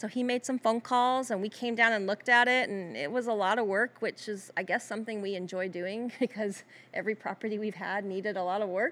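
With an American accent and an unremarkable speaking voice, a woman talks fairly quickly at a fairly high pitch, with fairly even intonation and hardly any pauses. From US South. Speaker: small business owner, former attorney. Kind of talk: casual interview.

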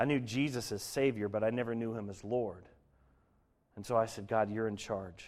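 An unremarkable speaking voice from a man with an American accent, moderate pace, and fairly even intonation. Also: medium pitch for a man. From Colorado, US. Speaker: guest sharing faith story. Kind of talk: testimony.

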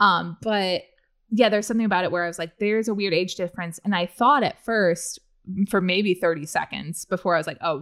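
Using a normal speaking voice with an American accent, a woman of medium pitch talks at a fairly quick pace with ordinary pitch variation. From US Midwest (central Illinois). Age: 30s. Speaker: writer and podcaster. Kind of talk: casual chat.

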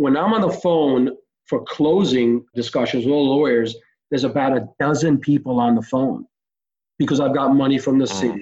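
A man with a normal speaking voice and a fairly high pitch talks at a moderate pace. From Israel (Tel Aviv), moved to US at 10. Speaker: real estate developer and entrepreneur. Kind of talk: interview.

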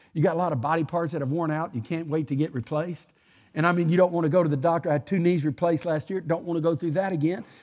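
The recording is very clean, with a silent background. A man speaks at a fairly high pitch. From Texas. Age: 60s. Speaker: guest preacher. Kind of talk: sermon. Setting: church.

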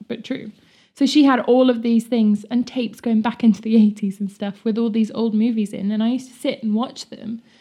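A woman speaks at a fairly quick pace in a fairly high pitch, her tone dark and mellow. Her voice is somewhat breathy, with big swings in loudness. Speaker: podcast host. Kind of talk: casual chat. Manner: animated.

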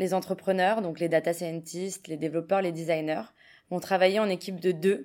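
A woman talks fairly quickly in a very clean recording with a silent background. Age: 20s. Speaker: open data project manager. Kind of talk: interview.

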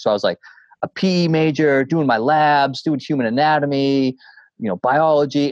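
Speaking with a Boston accent, a man uses a fairly high pitch. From Boston area, Massachusetts (North Shore). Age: 40s. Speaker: coach and motivational speaker. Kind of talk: casual interview conversation. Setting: remote call from home. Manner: animated; fast.

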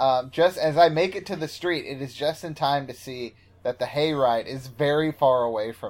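An animated man with an American accent at a fairly high pitch and moderate pace, showing ordinary pitch variation and big swings in loudness. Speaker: podcast guest. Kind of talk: casual banter. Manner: joking, animated.

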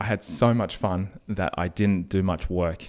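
On a very clean recording with a silent background, a man with an Australian accent speaks at a fairly low pitch with ordinary pitch variation. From Australia, Sydney (Strathfield). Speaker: podcaster and property investor. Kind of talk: interview.

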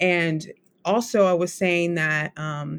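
Fairly low in pitch, a woman with an American accent uses a normal speaking voice and fairly even intonation on a very clean recording with a silent background. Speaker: writer and writing instructor. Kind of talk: interview conversation.

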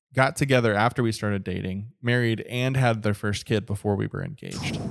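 Speaking at a fairly quick pace, a man with an unremarkable speaking voice keeps a medium pitch and fairly even intonation. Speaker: podcast host. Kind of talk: casual interview chat.

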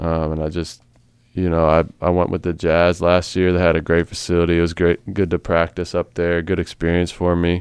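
A man with an American accent talks at a fairly quick pace in a very deep, low voice. His intonation is monotone and flat, and the background is quiet. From US, Maryland (Frederick County). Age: 20s. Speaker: professional basketball player. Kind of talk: casual interview. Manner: halting, many fillers.

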